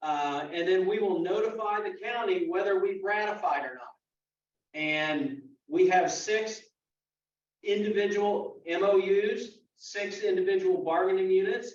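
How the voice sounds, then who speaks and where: Audible room echo frames a man's high-pitched voice. He speaks at a fairly slow pace with lively intonation. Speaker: union official. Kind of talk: membership meeting briefing.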